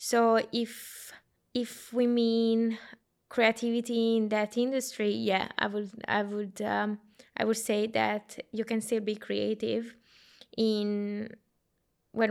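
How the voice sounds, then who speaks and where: A woman with an Italian accent talks in a fairly high voice. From Italy, small town. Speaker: consultant. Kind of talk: casual discussion.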